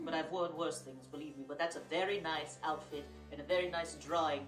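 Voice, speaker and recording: A woman speaks in a put-on character voice with a very deep, low pitch. She talks at a fairly quick pace over clear background music. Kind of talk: horror host segment. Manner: theatrical.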